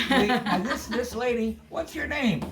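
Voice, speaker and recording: A man speaking at a moderate pace, with noticeable background noise. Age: 80s+. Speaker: vlogger. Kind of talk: casual chat. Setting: indoor party. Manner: animated.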